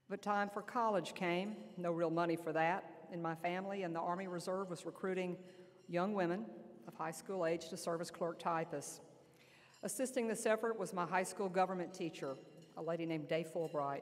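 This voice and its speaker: A woman's fairly low voice with an Alabama accent, fairly even intonation and a fairly quick pace. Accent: Southern US (Alabama). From US South, Lower Alabama. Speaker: army general. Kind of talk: speech. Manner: loud.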